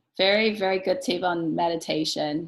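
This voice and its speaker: In an ordinary speaking voice, a woman talks at a fairly slow pace with a fairly low pitch. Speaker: interview host. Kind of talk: interview question.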